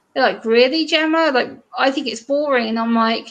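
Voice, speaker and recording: A woman with an English accent, a high pitch, and a fairly quick pace. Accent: English accent, sounds prim and proper. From eastern England. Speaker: YouTuber guest. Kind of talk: casual chat. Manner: animated.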